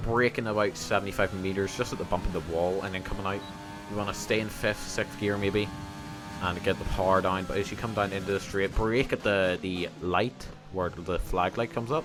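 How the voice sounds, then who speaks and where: Over music in the background, a man with a fairly low pitch speaks at a fairly quick pace with fairly even intonation. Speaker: gaming video creator. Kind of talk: gameplay commentary. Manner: casual, with many fillers.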